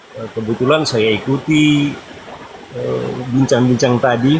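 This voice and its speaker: Over noticeable background noise, a man speaks fairly slowly at a medium pitch with fairly even intonation. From Manado, North Sulawesi, Indonesia. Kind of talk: call-in debate. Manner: halting.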